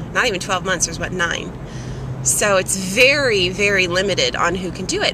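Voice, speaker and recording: Dry sound without echo, music playing in the background. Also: woman. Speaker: vlogger. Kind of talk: casual vlog chat. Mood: proud, warm. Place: car. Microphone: phone near.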